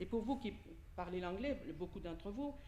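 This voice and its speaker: Very wide pitch swings amid audible room echo. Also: woman. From Italy. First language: Italian (speaking French). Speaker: preacher. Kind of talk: sermon.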